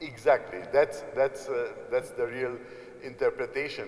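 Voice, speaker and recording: A man with a Hungarian accent over noticeable background noise. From Hungary. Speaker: apostolic nuncio, archbishop. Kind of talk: informal address to students. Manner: halting, many fillers.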